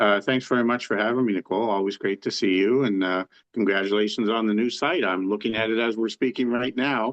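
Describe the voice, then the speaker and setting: Speaking at a very fast pace with hardly any pauses, a man with a Canadian Maritime accent keeps a medium pitch, very even loudness, and fairly even intonation. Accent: Canadian Maritimes English. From Canada, New Brunswick (Saint John). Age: 60s. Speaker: author and harness racing enthusiast. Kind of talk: interview. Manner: halting, many fillers and restarts.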